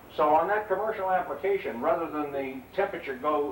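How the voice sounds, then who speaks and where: Speaking at a fairly quick pace, a man uses lively intonation. Audible room echo and noticeable background noise surround his voice. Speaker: technical trainer. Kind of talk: lecture. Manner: loud.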